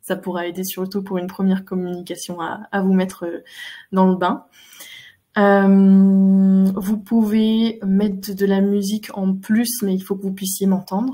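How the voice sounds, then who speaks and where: Dark, mellow, somewhat breathy delivery in a flat monotone at a fairly slow pace. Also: woman, medium pitch for a woman. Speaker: animal communicator. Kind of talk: online talk; guided meditation. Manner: hesitant, many fillers; soft-spoken.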